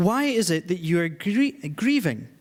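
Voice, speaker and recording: A man with a Scottish accent, fairly slow in pace, with very wide pitch swings. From Scotland. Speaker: charity director and guest preacher. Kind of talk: church sermon.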